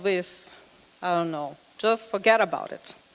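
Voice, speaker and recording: A woman talks at a fairly slow pace in a Brazilian accent. Her pitch varies in an ordinary way. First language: Portuguese. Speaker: psychotherapist. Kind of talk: lecture.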